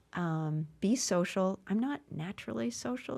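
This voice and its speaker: On a very clean recording with a silent background, a woman with an American accent speaks at a medium pitch in a dark, mellow tone, her pitch swinging very widely. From Massachusetts (Brockton, near Boston). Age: 70s. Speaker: stand-up comedian. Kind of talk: interview conversation. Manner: halting, with frequent restarts.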